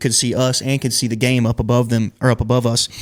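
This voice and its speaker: Speaking with a Southern US accent, a man has a medium pitch. His pace is very fast. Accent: Southern American. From Georgia, USA. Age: 20s. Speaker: country singer. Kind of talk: interview answer. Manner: casual, relaxed.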